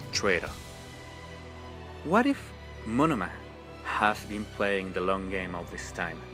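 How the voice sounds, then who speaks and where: A man at a fairly low pitch with a non-native accent, music in the background. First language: not English. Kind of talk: fan theory video narration. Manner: passionate.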